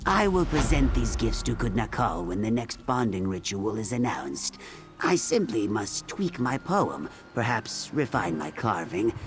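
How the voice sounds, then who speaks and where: Over clear background noise, a man does a cartoonish character voice at fairly low pitch and a moderate pace. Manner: calm, gentle.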